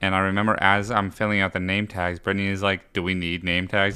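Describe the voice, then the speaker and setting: A man with a fairly low pitch and a bright, sharp tone talks in a monotone, flat intonation at a very fast pace with hardly any pauses, on a very clean recording with a silent background. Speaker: podcast guest. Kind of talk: casual chat.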